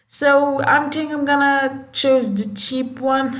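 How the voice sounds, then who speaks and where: A woman speaks at a very slow pace. Noticeable background noise and audible room echo fill the recording. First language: Moroccan Arabic (Darija). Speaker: tech youtuber. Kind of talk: tutorial. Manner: halting; casual, many fillers.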